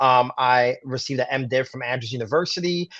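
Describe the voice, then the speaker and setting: This is a man with a medium pitch. He speaks at a moderate pace. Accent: New York. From Brooklyn, New York. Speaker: pastor. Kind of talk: interview.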